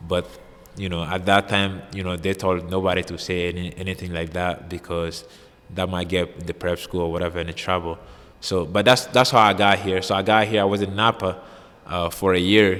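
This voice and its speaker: A man's very deep, low voice at a moderate pace, flat and monotone in intonation. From Mali. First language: French and Bambara. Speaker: college basketball player. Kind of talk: interview. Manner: halting.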